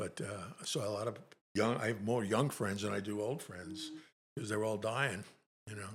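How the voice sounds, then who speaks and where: A somewhat breathy man talks with ordinary pitch variation, leaving long, frequent pauses. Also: fairly low pitch for a man, moderate pace. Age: 80s+. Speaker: Navy Vietnam veteran. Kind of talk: casual chat.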